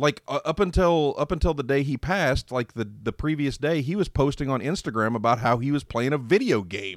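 A man's fairly high, plain, everyday voice, fairly quick and lively in intonation with hardly any pauses, on a very clean recording with a silent background and a dry, close sound with no echo. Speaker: podcast host guest. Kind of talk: casual chat.

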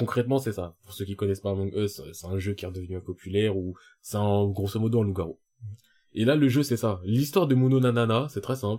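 Speaking fairly quickly, a man with a fairly low, dark, mellow voice shows ordinary pitch variation and big swings in loudness. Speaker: podcast co-host. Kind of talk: casual chat. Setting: studio. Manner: talkative, rambling.

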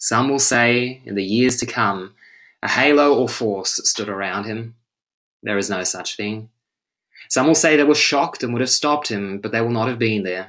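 A bright, sharp yet solemn tone in an Australian accent over a quiet background. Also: man, medium pitch for a man, ordinary pitch variation. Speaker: English and French teacher. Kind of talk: poetry reading. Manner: slow, measured, solemn delivery.

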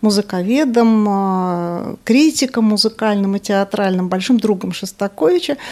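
A woman talks at a moderate pace in a fairly high pitch with a dark, mellow tone. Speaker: radio culture columnist. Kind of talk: interview.

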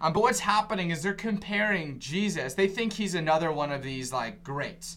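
A man's normal speaking voice, fairly high in pitch, with lively intonation at a moderate pace. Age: 20s. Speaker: preacher. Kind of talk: casual chat.

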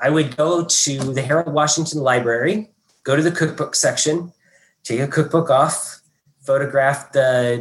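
With an American accent, a man talks at a fairly slow pace with ordinary pitch variation. His is a plain, everyday voice. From southern Indiana, US. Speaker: food critic. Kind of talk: panel talk. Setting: video call.

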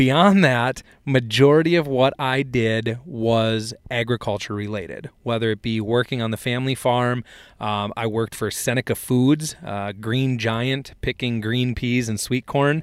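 A man speaks with an American accent at medium pitch, with ordinary pitch variation. It is a normal speaking voice. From south central Minnesota. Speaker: ag equipment product specialist and podcast host. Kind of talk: casual chat.

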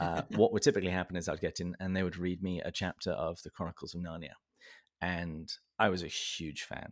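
A man with a very deep, low pitch and a southern English accent, fairly even intonation and a fairly quick pace, in a dry, close sound with no echo on a very clean recording with a silent background. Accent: southern English, noticeable. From south of England, Berkshire. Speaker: podcast host. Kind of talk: casual interview conversation. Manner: humorous, self-deprecating.

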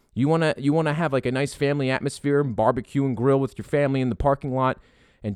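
A man's medium-pitched voice in a dry, close sound with no echo. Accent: American. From Philadelphia. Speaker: podcast host. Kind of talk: casual sports talk podcast. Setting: makeshift studio. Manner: animated, excitable.

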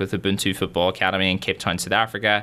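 In a Northern Irish accent, a man talks at a very fast pace with a fairly low pitch, a bright, sharp tone and monotone, flat intonation. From Northern Ireland, Derry. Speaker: university student. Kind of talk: interview.

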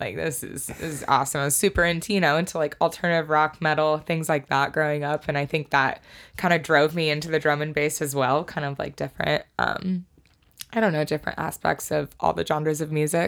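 Speaking with a Pacific Northwest accent, a woman has a very deep, low pitch and fairly even intonation. She moves at a fairly quick pace in a very clean recording with a silent background. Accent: Pacific Northwest American. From Washington State, Snohomish area. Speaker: DJ and music producer. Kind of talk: casual chat.

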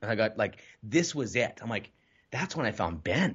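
Vocal fry marks a man's fairly quick speech, which has very wide pitch swings. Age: 30s. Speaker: entrepreneur and real estate coach. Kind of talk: casual interview chat.

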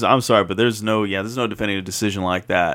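A man speaks in an American accent. His pitch is fairly low. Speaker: podcast co-host. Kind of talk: casual chat.

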